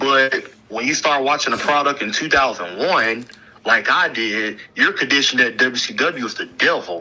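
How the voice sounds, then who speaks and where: Music plays in the background behind a man with a medium-pitched voice. He talks at a moderate pace with lively intonation. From US South, Alabama. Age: 20s. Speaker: pro wrestler. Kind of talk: interview.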